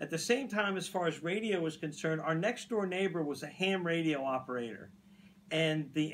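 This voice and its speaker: He is a man with a high pitch and ordinary pitch variation. The pace is moderate. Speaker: radio host. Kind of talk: casual chat.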